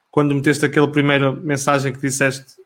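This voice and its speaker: A man's fairly high voice stays monotone, with flat intonation. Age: 30s. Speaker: football podcast host. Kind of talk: casual chat.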